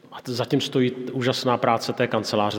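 Over noticeable background noise and audible room echo, a man speaks. His delivery is monotone and flat at a moderate pace. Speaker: pastor and church leader. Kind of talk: sermon; interview.

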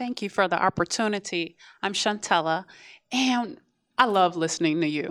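A woman's medium-pitched voice with lively intonation and long, frequent pauses. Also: moderate pace. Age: 40s. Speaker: audience member. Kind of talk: audience feedback. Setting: classroom with live audience.

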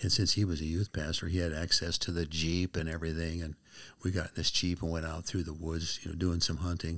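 In an American accent, a man talks very fast in a very deep, low voice with flat, monotone intonation, on a very clean recording with a silent background. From US Pacific Northwest. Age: 70s. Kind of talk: testimony.

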